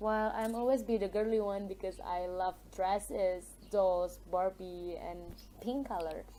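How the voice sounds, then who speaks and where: In an Indonesian accent, a woman speaks at a very slow pace. Her voice sits at a medium pitch with a dark, mellow tone. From Indonesia, Minangkabau region. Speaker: university student. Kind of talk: mock speaking test interview. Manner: hesitant, with fillers.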